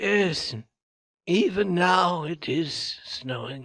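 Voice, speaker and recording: A man's raspy, high-pitched put-on character voice at a very slow pace, with ordinary pitch variation. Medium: read story.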